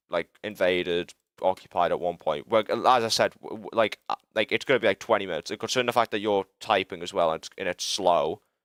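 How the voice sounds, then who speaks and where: The sound is dry and close with no echo as a man talks with a British accent. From UK. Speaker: livestreamer and game developer. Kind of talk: live stream chat while working. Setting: live stream. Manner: casual, halting with frequent stammers.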